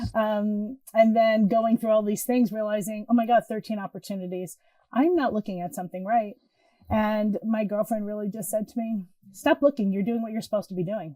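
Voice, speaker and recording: Fairly quick in pace, a woman speaks with a dark, mellow tone and ordinary pitch variation. The sound is dry and close, with no echo. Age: 60s. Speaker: intuitive healer. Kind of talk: casual chat. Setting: podcast interview.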